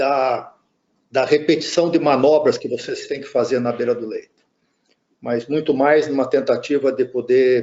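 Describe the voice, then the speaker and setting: Fairly high-pitched for a man, he speaks at a fairly slow pace. His intonation stays fairly even. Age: 60s. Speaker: intensive care physician, lecturer. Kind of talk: lecture. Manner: halting, many repetitions and fillers.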